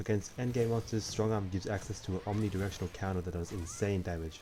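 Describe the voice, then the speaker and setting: A man speaks very fast in a fairly low pitch, his tone dark and mellow and somewhat breathy. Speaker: gaming video commentator. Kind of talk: explainer voiceover narration. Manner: sleepy, low-energy.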